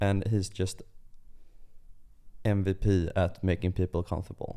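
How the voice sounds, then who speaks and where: The voice is dark and mellow, in a Swedish accent, with a monotone, flat intonation. It moves at a moderate pace at a very even loudness. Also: man, very deep, low pitch for a man. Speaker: podcast co-host. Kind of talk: casual chat.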